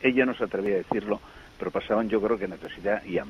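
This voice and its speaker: A man races through his words at a very fast pace while noticeable noise fills the background. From Asturias, Spain. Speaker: parish priest. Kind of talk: interview. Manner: halting, repeats words.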